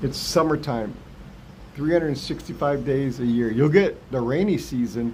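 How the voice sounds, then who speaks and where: This man's voice sits fairly high, with ordinary pitch variation at a moderate pace. Audible room echo surrounds it. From US West, Los Angeles San Fernando Valley. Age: 60s. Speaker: retired vlogger. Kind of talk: casual live stream chat. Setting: live stream.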